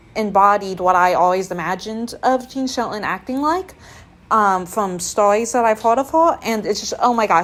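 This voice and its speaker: A woman with a fairly high pitch talks at a moderate pace in an animated tone, her pitch varying in an ordinary way. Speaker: vlogger. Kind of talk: casual chat. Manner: loud.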